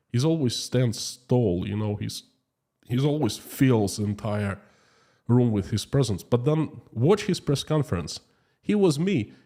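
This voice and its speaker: On a very clean recording with a silent background, a man with a Russian accent talks at a fairly slow pace, his tone dark and mellow, his pitch medium, his intonation lively. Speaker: YouTube streamer. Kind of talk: live stream chat reading. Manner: slow, choosing words carefully.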